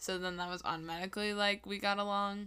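A woman with a US Midwestern accent talks in a bright, sharp tone with fairly even intonation. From Iowa (Wilton). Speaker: college student, ride companion. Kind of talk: casual chat.

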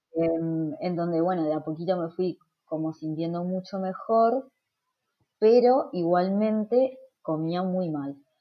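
A woman with a Uruguayan accent, very slow, with ordinary pitch variation. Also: fairly low pitch for a woman. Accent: Rioplatense Spanish (Uruguayan). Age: 30s. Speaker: nutritionist. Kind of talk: interview.

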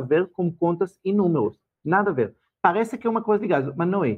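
With a non-native accent, this voice moves at a fairly quick pace with lively intonation. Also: man. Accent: foreign accent in Portuguese. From Israel. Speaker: financial educator. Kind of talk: casual chat.

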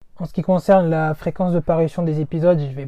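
A man's fairly high-pitched voice, monotone and flat, at a moderate pace. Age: 20s. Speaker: podcast host. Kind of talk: podcast introduction monologue.

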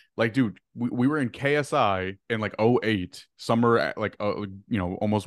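A man's unremarkable speaking voice, fairly low in pitch with ordinary pitch variation, at a moderate pace with hardly any pauses, against a quiet background. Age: 20s. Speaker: social media creator. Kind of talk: casual chat.

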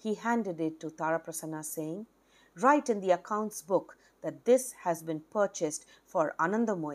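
The clip consists of plain reading aloud.

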